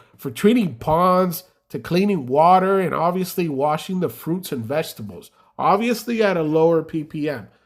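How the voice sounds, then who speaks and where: Speaking in a strong Spanish accent, a man with a high voice sounds animated at a fairly slow pace, with ordinary pitch variation, in a very clean recording with a silent background. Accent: heavy Spanish. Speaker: carpet cleaning business owner. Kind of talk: casual tutorial vlog.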